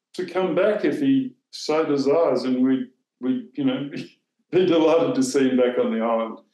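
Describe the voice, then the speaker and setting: A man with an Australian accent speaks fairly high at a fairly slow pace, his dark, mellow tone making very wide pitch swings, with audible room echo over a quiet background. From southern Australia. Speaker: former newspaper editor; former newspaper editor, interview guest. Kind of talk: interview. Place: home room. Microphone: video call.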